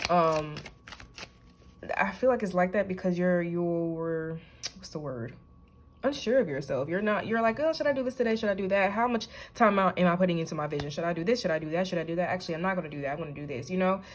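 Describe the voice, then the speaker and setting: Talking very fast, a woman uses a medium pitch and lively intonation. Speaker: tarot reader. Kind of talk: intuitive tarot reading to camera. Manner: choppy, halting speech with stutters; casual, conversational.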